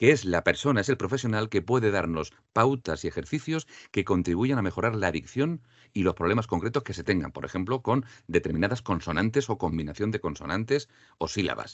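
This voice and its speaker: This man has a fairly low pitch and lively intonation. He speaks at a fairly quick pace. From Andalusia, Spain. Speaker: voice-over artist and diction teacher. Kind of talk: interview. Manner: clear trained diction.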